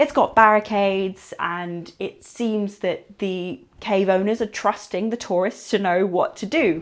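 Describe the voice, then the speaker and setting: On a very clean recording with a silent background, a woman talks at a fairly slow pace with hardly any pauses, at a medium pitch with ordinary pitch variation. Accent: English. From England. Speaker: television presenter and caver. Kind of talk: unscripted educational talk to camera. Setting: inside a cave.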